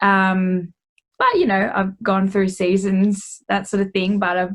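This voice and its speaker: A woman with an Australian accent speaks at a medium pitch and a fairly slow pace, somewhat breathy, in a monotone, flat intonation. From Australia, Geelong, Victoria. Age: 20s. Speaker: singer-songwriter and music therapist. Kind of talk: interview. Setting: video call.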